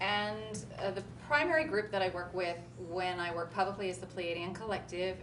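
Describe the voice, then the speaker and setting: With a Midwestern American accent, a woman speaks at a moderate pace and medium pitch with ordinary pitch variation, amid noticeable background noise and audible room echo. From US Midwest, Kansas. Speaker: spiritual channeler. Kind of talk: talk to live audience. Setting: stage with audience at expo.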